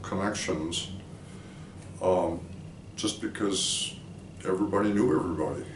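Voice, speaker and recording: Against noticeable background noise and audible room echo, a man with an American accent speaks at a moderate pace in a fairly low voice. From Minnesota, US Midwest. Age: 70s. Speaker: philosophy professor. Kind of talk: oral history interview. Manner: reflective, with hesitations.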